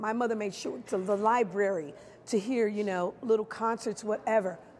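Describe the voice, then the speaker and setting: At a fairly quick pace, a woman with an American accent and a fairly high pitch speaks over light background noise. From Chicago. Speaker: stage actress, musical theatre performer. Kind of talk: interview answer. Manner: warm, expressive, lively. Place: hall.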